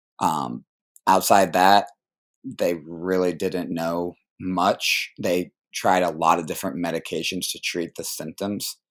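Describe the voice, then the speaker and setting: Delivered at a fairly slow pace, the speech comes through a very clean recording with a silent background. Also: man, very deep, low pitch for a man, fairly even intonation. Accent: American. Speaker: college golfer. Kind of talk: interview. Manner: casual.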